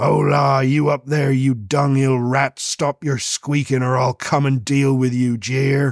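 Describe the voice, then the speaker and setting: Using a put-on character voice, a man growls at a medium pitch and a fairly slow pace with hardly any pauses. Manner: snarling, threatening.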